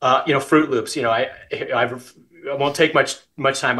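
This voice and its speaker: In a quiet background, a man with an American accent speaks at a fairly high pitch with a bright, sharp tone. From US West. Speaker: business executive. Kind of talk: interview. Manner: frequent filler words. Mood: warm, friendly. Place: home room. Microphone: video call.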